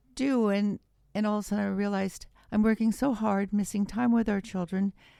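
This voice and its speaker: Speaking at a moderate pace in an Upper Midwest accent, a woman has a fairly high pitch, a dark, mellow tone, and fairly even intonation. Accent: Upper Midwest American. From Wisconsin, US Midwest. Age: 60s. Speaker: author and former attorney. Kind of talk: podcast interview, personal testimony.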